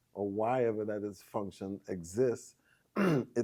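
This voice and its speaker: A man with a dark, mellow tone and a fairly low pitch speaks with ordinary pitch variation. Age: 60s. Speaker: massage therapist. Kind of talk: interview.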